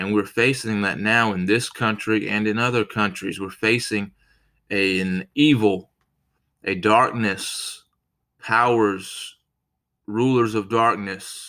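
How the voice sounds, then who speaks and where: A man with an American accent, fairly low pitched, very slow, with fairly even intonation and a bright, sharp tone. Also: very clean recording, silent background. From United States. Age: 30s. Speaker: podcast preacher. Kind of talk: sermon.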